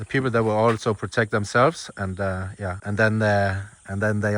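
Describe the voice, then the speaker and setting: On a very clean recording with a silent background, a man with a non-native accent speaks fairly quickly at a fairly low pitch, his intonation fairly even. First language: Danish. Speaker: travel vlogger. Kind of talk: vlog narration. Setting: outdoors. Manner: halting.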